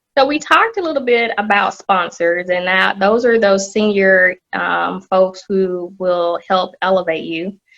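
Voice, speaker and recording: With a bright, sharp tone, a woman talks at medium pitch and a fairly slow pace, her pitch varying in an ordinary way. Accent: Southern US. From US South, Atlanta. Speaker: corporate executive. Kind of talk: podcast interview.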